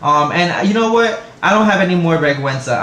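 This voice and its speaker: A man in a New York accent at a fairly quick pace, with ordinary pitch variation, amid noticeable background noise and audible room echo. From New York City, the Bronx. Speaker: vlogger. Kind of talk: casual vlog monologue. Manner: hesitant, many fillers.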